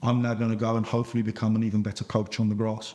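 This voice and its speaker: A man speaks at a very fast pace and a medium pitch. His intonation is monotone and flat, his tone dark and mellow. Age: 40s. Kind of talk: interview.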